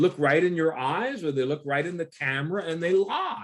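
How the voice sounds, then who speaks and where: Speaking at a fairly slow pace, a man has a high voice. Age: 70s. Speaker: pastor. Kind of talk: sermon. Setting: video call.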